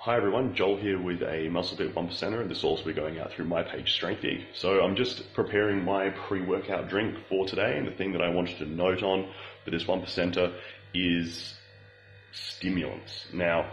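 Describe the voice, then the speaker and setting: A man's very deep, low voice at a moderate pace with fairly even intonation, light background noise and audible room echo. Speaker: fitness coach. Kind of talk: casual vlog tutorial. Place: home room. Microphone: phone near.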